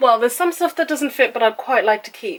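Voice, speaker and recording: A woman speaks with a British accent. Her intonation is lively. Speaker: vlogger. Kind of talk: casual vlog to camera. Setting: at home.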